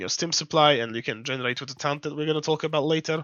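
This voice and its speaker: The speaker talks at a fairly quick pace with a non-native accent. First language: not English. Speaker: game playtester. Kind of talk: game guide talk. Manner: casual, hesitant.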